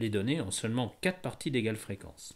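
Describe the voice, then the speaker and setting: A man with a Parisian accent and medium pitch talks at a fairly quick pace. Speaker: statistics teacher. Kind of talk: educational tutorial narration.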